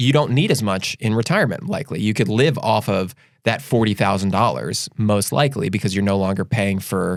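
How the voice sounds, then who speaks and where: On a very clean recording with a silent background, a man with an American accent speaks at a fairly low pitch with lively intonation. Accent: Delco accent, usually reined in. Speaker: financial advisor podcast host. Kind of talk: casual chat. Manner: fast; stammering with repeated words.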